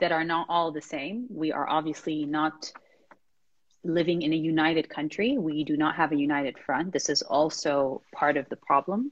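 At a moderate pace, a woman talks in a very deep, low pitch with ordinary pitch variation. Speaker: podcast host. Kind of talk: interview.

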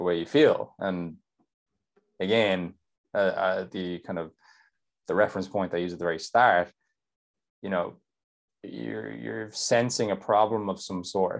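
With an Irish accent and a very deep, low pitch, a man speaks with lively intonation and long, frequent pauses against a quiet background. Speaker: nutrition coach. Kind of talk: casual chat.

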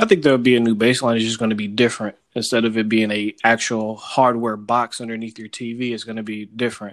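A man with an American accent talks very fast in a medium pitch, with hardly any pauses and flat, monotone intonation. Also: big swings in loudness. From Sacramento, California. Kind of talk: casual chat.

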